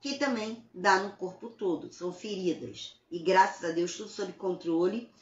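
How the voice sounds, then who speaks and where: Somewhat breathy, with big swings in loudness, hardly any pauses, a fairly slow pace and ordinary pitch variation. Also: woman, medium pitch for a woman. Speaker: self-help author and speaker. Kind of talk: motivational talk. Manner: stutter at times.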